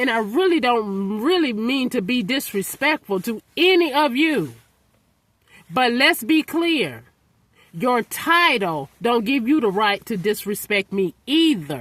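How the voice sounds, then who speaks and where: Shouting at a fairly slow pace, a woman with a fairly high voice makes very wide pitch swings in a dry, close sound with no echo. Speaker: vlogger. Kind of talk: emotional vlog rant. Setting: outdoors in snow. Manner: yelling.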